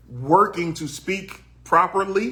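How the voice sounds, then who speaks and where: With a Southern US accent, a man is speaking. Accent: country twang, Southern. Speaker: podcast co-host, voice actor. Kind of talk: casual chat.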